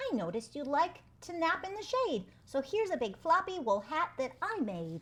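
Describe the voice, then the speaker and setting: High-pitched put-on character voice with very wide pitch swings. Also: moderate pace. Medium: read story.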